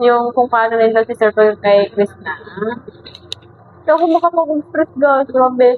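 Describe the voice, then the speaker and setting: A woman's high voice, fairly slow and lively in intonation, with long, frequent pauses. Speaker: reaction video creator. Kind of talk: casual video reaction commentary.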